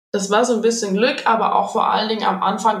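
A woman speaking at a fairly quick pace, fairly even intonation, and noticeable background noise behind her. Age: 20s. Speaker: patient sharing experience, health blogger. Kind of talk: interview testimony.

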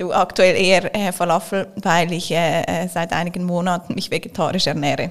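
With noticeable background noise behind her, a woman with a fairly low pitch talks in a monotone, flat way at a moderate pace with hardly any pauses. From Switzerland, Zurich. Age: 30s. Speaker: company executive. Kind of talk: interview.

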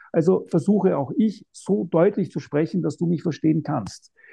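This man's voice sits high in pitch, with ordinary pitch variation and a moderate pace. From Austria, Vienna. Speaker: non-fiction author. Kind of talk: interview. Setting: remote call.

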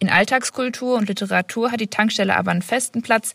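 A woman speaks at a fairly quick pace. Her voice carries vocal fry. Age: 20s. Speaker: master's student. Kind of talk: voice message, prepared explanation.

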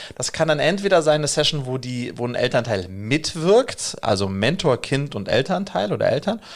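A man's normal speaking voice, at a moderate pace with lively intonation. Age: 40s. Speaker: education entrepreneur. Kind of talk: podcast interview.

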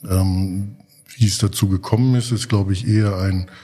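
With a dark, mellow, somewhat breathy tone, a man speaks at a moderate pace in a fairly low voice with ordinary pitch variation. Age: 40s. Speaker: rail freight company executive. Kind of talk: casual interview. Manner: hesitant, many filler sounds.

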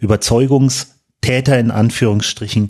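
A man speaks with a somewhat breathy voice and fairly even intonation. The background is quiet. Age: 30s. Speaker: football club supervisory board member. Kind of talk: podcast interview. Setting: studio, in person. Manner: hesitant, many fillers.

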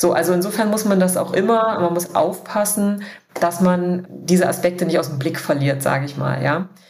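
The room echo is audible as a woman talks at a moderate pace. Her pitch varies in an ordinary way. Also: fairly low pitch for a woman. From eastern Germany, Dessau (Saxony-Anhalt). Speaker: founder of a women's leadership network. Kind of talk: interview.

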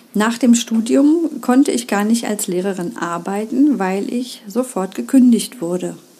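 Noticeable background noise sits behind a woman's fairly high voice. She speaks at a fairly slow pace. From East Germany. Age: 50s. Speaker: primary school teacher and podcast host. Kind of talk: solo podcast monologue.

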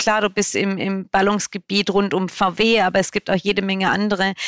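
In a dry, close recording with no echo, a woman speaks at a moderate pace with medium pitch and fairly even intonation. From Swabia, southern Germany. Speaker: media company managing director. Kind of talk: podcast interview. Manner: clear, direct.

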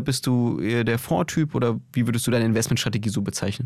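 This is a man with an ordinary speaking voice. He talks at a medium pitch and a fairly quick pace. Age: young. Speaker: podcast host. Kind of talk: casual interview.

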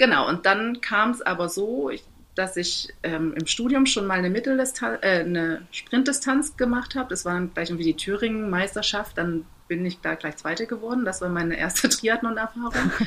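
A woman with a normal speaking voice, medium pitch, lively intonation and a moderate pace. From Saxony, eastern Germany (Torgau). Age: 30s. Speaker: amateur triathlete. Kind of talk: interview.

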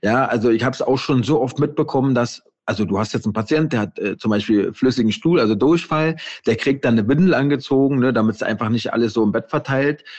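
A man of medium pitch rattles along at a very fast pace, his pitch varying in an ordinary way. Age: 40s. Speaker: intensive care nurse and author. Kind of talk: casual interview.

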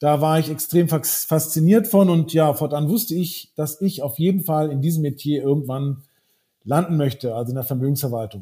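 A dark, mellow tone comes through with a somewhat breathy quality. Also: man, fairly high pitch for a man, ordinary pitch variation, moderate pace. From Brazil. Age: 40s. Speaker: wealth manager. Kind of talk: corporate podcast interview.

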